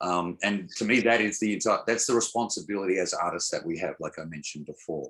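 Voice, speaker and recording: The speaker has an Australian accent, talks at a fairly quick pace and uses ordinary pitch variation. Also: man, fairly low pitch for a man. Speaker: songwriter, music producer, spoken word poet, DJ. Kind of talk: interview answer. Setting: video call. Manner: hesitant, repeats words.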